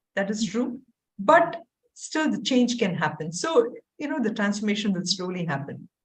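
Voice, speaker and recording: Here a woman with an American accent speaks at a medium pitch, somewhat breathy. Her pitch swings very widely. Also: moderate pace. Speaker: Bhagavad Gita teacher and university dean. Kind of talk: casual chat.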